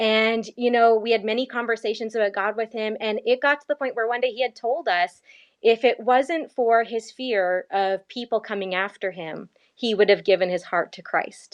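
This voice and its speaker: A woman's plain, everyday voice, fairly high in pitch, with a Canadian accent, ordinary pitch variation and a moderate pace, in a dry, close sound with no echo over a quiet background. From Canada, Ontario (grew up in Hamilton). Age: young. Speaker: missionary and podcaster. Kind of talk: interview.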